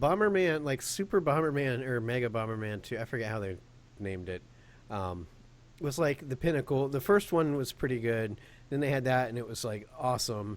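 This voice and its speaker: With an unremarkable speaking voice, a man talks at a fairly quick pace in a medium pitch with lively intonation, on a very clean recording with a silent background. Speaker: gaming podcast co-host. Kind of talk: casual chat.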